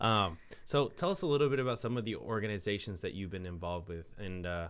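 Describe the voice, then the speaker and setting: This man has a fairly low pitch and lively intonation. He talks at a very fast pace. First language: not English. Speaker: podcast host. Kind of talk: interview conversation.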